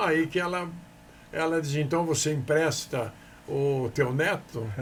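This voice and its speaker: Here a man speaks at a moderate pace with fairly even intonation. His voice is somewhat breathy. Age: 80s+. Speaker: businessman. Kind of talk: interview. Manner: halting.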